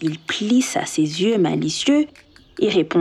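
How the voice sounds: The speaker reads in a natural voice.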